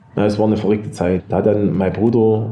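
Over noticeable background noise and audible room echo, a man speaks at a fairly quick pace in a monotone, flat intonation. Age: 50s. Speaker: engraving master, business owner. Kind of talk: storytelling in a group talk.

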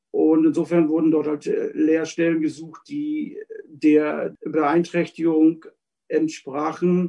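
Intonation stays fairly even in this dark, mellow tone. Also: man. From Mecklenburg, northern Germany. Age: 40s. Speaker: former shepherd, craftsman. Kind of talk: personal life story.

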